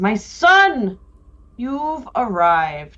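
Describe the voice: In a put-on character voice, a female-sounding speaker projects loudly with very wide swings in pitch. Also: high pitch for a woman.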